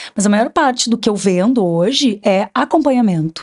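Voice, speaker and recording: Her pitch medium and its variation ordinary, a woman speaks. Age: 40s. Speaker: nutritionist. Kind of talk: podcast interview. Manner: agitated.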